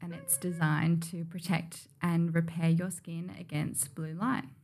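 A woman with an Australian accent speaks in a somewhat breathy voice at a fairly low pitch. Her pace is fairly slow and her intonation fairly even. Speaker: beauty brand founder. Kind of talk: casual chat.

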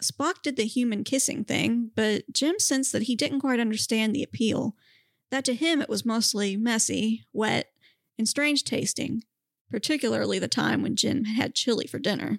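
Vocal fry at very even loudness, dry and close with no echo, on a very clean recording with a silent background. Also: woman, fairly high pitch for a woman, ordinary pitch variation, moderate pace. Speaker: podcast co-host. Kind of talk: casual chat and reading fan fiction aloud.

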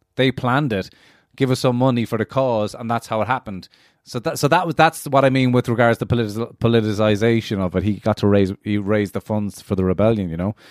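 In a Cork accent, a man speaks fairly quickly at a medium pitch with ordinary pitch variation. The recording is very clean, with a silent background and a dry, close sound with no echo. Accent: Cork Irish. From Ireland, Cork. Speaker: access programme student discussing Irish history. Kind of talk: casual chat.

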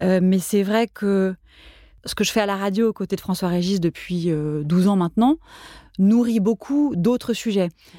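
A woman's medium-pitched voice with a dark, mellow tone and ordinary pitch variation, fairly slow, in a very clean, dry, close recording with no echo and a silent background. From France, Paris. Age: 40s. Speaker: food journalist and radio columnist. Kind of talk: casual interview conversation.

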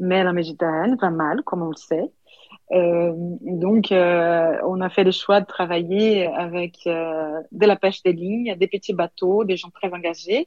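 A woman at a fairly low pitch, very slow pace and fairly even intonation. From Brazil (São Paulo). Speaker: sommelier and restaurant co-owner. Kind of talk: interview. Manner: halting, many hesitations.

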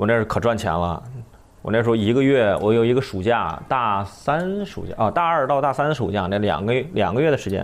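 A man with an unremarkable speaking voice talks at a fairly quick pace and medium pitch. His intonation is lively. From northern China. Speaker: comedian, former radio news commentator. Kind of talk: casual chat.

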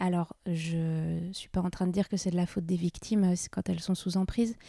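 A woman's dark, mellow voice at a medium pitch and fairly slow pace, dry and close with no echo, on a very clean recording with a silent background. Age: 30s. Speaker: burlesque dancer and comedian. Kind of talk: casual chat.

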